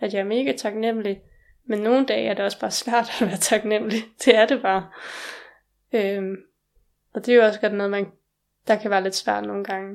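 With long, frequent pauses, a woman of medium pitch speaks at a fairly quick pace and with fairly even intonation on a very clean recording with a silent background. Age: 20s. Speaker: organ transplant recipient. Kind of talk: interview. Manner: halting.

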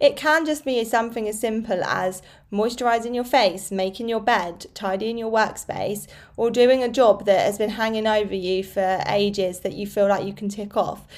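Using a British accent, a woman speaks at a moderate pace. Her pitch is fairly high, with ordinary pitch variation. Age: 30s. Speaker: fitness coach and podcast host. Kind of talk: solo podcast monologue. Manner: casual, conversational.

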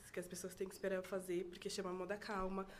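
A woman's monotone, flat delivery over noticeable background noise. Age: 20s. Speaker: crochet designer and DJ. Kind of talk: casual chat.

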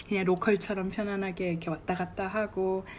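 At a moderate pace, a woman speaks in a plain, everyday voice at a medium pitch. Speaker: travel vlogger. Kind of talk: travel diary monologue. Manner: relaxed conversational.

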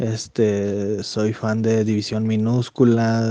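A man speaks with a dark, mellow tone. His pace is very slow. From Chihuahua, northern Mexico (Saucillo area). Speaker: bartender and part-time comedian. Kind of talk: recorded voice message answers. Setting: recorded separately, voice message.

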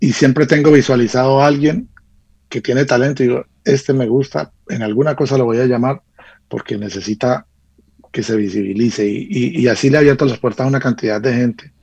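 Somewhat breathy, medium-pitched speech from a man, at a fairly quick pace with ordinary pitch variation. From Colombia, Caldas (coffee region). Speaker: music producer and arranger. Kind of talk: radio interview. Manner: halting, with frequent fillers and repetitions. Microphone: connection dropped out.

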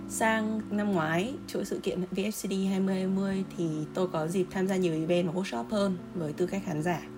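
Music plays in the background, and the room echo is audible. A woman speaks at a medium pitch and fairly slow pace, with ordinary pitch variation and hardly any pauses. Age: 20s. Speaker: graphic designer. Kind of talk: testimony.

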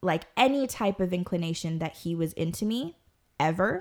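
A woman with a normal speaking voice talks at a fairly slow pace, her intonation lively. The recording is very clean, with a silent background. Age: 30s. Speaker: podcast guest, small business owner. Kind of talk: casual chat, storytelling.

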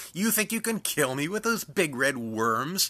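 A man's put-on, cackling character voice, fairly high with very wide pitch swings, at a moderate pace on a very clean recording with a silent background. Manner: cackling, mocking laughter.

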